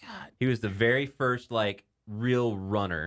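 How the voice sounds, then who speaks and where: A man with an American accent speaks in an animated, playful tone. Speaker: sports podcast host. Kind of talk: casual sports talk show banter; ring announcer style showman intro, booming and theatrical. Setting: radio studio. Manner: animated, playful, jokey.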